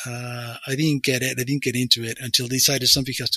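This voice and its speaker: Monotone and flat, a man at medium pitch speaks very fast. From Peru, Lima. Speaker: workshop facilitator and consultant. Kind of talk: interview conversation.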